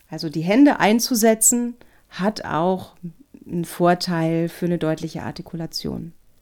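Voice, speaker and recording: A woman's dark, mellow voice, fairly low in pitch, with lively intonation at a fairly slow pace. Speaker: voice and speech coach. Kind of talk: podcast tutorial chat. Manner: crisp, very clear articulation.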